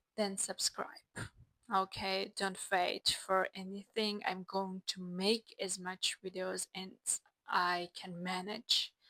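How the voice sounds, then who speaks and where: A woman with a non-native accent at a medium pitch and very slow pace, in a bright, sharp tone with a dry, close sound with no echo. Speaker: self-help vlogger. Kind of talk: casual vlog monologue.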